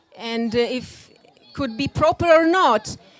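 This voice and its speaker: A woman's voice with an Italian accent, lively intonation and a very slow pace. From Italy, Rome. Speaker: classical dancer. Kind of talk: lecture demonstration. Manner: halting.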